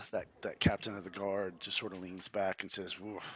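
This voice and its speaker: A man does a raspy put-on character voice, fairly low in pitch. The delivery is monotone and flat at a moderate pace. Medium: actual play. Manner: gruff, suspicious.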